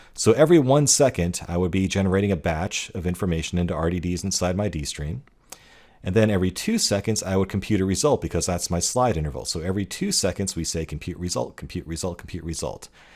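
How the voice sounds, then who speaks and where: A man with a very deep, low voice talks at a very fast pace with ordinary pitch variation, recorded very cleanly against a silent background. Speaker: course instructor. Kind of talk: lecture.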